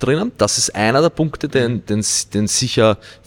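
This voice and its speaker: A man with an unremarkable speaking voice talks at a moderate pace with lively intonation, the sound dry and close with no echo. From Austria, Vienna. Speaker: weightlifting coach. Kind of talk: casual interview.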